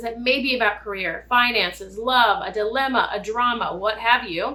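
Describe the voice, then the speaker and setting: A woman speaks loudly in a high pitch with ordinary pitch variation. Noticeable background noise is present. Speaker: tarot reader. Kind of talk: tarot reading. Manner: loud, projecting.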